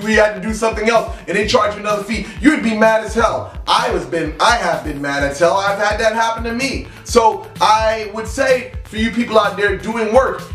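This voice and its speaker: Over faint background music and audible room echo, a man with a high pitch and ordinary pitch variation talks at a moderate pace with hardly any pauses. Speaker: spiritual practitioner vlogger. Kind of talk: casual vlog chat.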